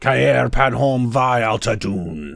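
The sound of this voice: In a put-on character voice, a man talks slowly at a medium pitch with lively intonation, vocal fry and a fairly bright tone, on a very clean recording with a silent background.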